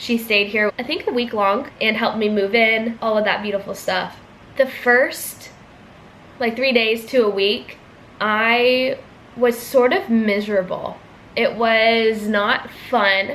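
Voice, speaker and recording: With an American accent, a woman has an unremarkable speaking voice, fairly high in pitch, delivered at a fairly slow pace with fairly even intonation. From US, California and Georgia. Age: 20s. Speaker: vlogger, student. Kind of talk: casual Q&A vlog.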